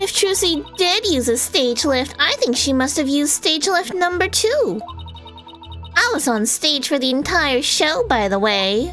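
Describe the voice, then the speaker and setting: Using a put-on character voice, a woman speaks with a high pitch at a moderate pace. Clear music plays in the background. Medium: game stream. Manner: switches between sugary sweetness and venom.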